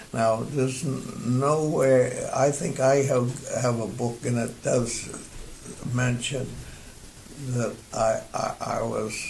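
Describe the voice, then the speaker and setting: Noticeable background noise sits behind a man with a medium pitch. He speaks at a very slow pace with fairly even intonation. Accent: American. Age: 80s+. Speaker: war veteran. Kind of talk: interview answer.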